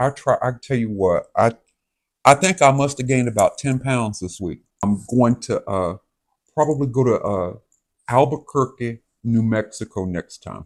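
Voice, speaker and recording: The speaker is a man with a Southern US accent. He talks at a moderate pace. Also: medium pitch for a man, ordinary pitch variation, dry, close sound with no echo. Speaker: vlogger. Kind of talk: casual chat. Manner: halting.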